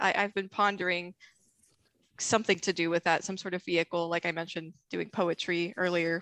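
Against a quiet background with a dry, close sound and no echo, a woman with an American accent speaks in a bright, sharp tone with monotone, flat intonation. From US Midwest. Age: 20s. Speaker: scientist and Asimov fan. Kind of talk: casual chat.

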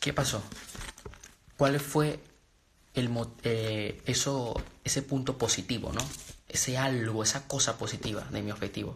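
A man's somewhat breathy speech is broken by long, frequent pauses. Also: medium pitch for a man, fairly slow pace. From Venezuela. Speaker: motivational speaker. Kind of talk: live stream talk.

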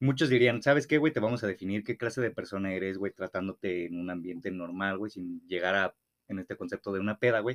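Very fast speech from a man with a fairly low pitch. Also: ordinary pitch variation. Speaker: podcast co-host. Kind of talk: casual chat. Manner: stumbles over words.

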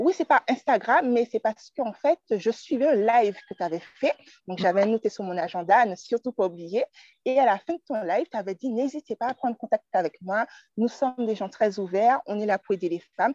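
With lively intonation and a fairly high pitch, a woman with an ordinary speaking voice talks at a moderate pace in a dry, close sound with no echo. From Martinique. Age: 20s. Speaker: craft entrepreneur. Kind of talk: casual chat.

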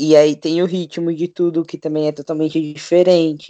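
A man with a high pitch and a dark, mellow tone speaks in a monotone, flat way at a moderate pace, the sound dry and close with no echo. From Brazil, São Paulo city. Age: 20s. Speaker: podcast panelist. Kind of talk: casual chat.

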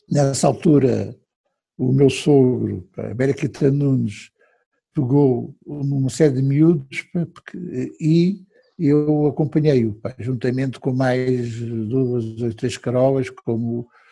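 A man speaks at a very slow pace, leaving long, frequent pauses. His tone is dark, mellow and somewhat breathy, with ordinary pitch variation. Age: 70s. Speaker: retired economist and rugby club director. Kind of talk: interview.

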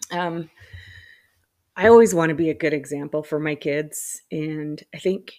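This woman speaks with a fairly low pitch. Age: 40s. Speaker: solo podcaster. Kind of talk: personal reflective monologue. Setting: home loft. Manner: casual with frequent laughs and fillers.

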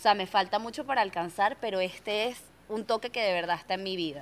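A woman at medium pitch, talking at a very fast pace. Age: 30s. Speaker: podcast host. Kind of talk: casual chat. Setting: radio studio.

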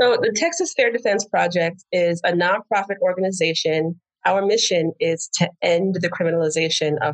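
The voice belongs to a woman with an American accent and medium pitch. The sound is dry and close, with no echo. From New Jersey. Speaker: lawyer. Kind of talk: interview. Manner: hesitant, many fillers.

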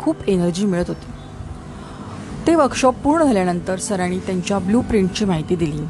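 A woman's medium-pitched voice with lively intonation over noticeable background noise. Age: 50s. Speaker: career coach. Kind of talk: reading aloud.

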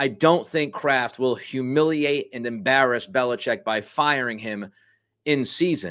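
In a very clean recording with a silent background, a man with a medium pitch talks in an animated tone at a fairly slow pace, his pitch varying in an ordinary way. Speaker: sports talk show host. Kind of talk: sports radio-style commentary; angry rant. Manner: animated, sarcastic, ranting.

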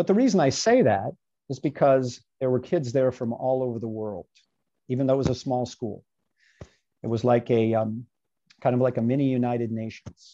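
A man's dark, mellow voice at medium pitch, with ordinary pitch variation, a moderate pace and long, frequent pauses. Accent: American. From Virginia, US. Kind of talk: podcast interview, faith testimony. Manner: animated, conversational.

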